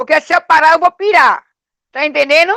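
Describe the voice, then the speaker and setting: A raised, projected voice with a bright, sharp tone comes through with a dry, close sound and no echo. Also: woman. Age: 60s. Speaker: community resident. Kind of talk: online class discussion.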